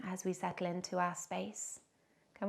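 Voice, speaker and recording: A woman with vocal fry talks at a moderate pace and medium pitch, her tone calm and soothing. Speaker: yoga instructor. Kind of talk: guided yoga and meditation instruction. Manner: calm, soothing, gentle.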